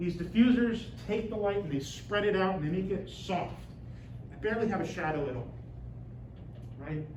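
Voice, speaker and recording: Amid noticeable background noise and audible room echo, a loud man with a high pitch talks at a moderate pace with ordinary pitch variation and long, frequent pauses. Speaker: university lecturer. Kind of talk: lecture. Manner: loud, projecting.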